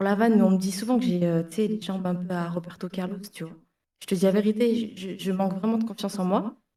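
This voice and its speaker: Her medium-pitched voice moves at a fairly quick pace as this woman talks with fairly even intonation. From southern France. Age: 30s. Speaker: caller. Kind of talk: casual chat. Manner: halting.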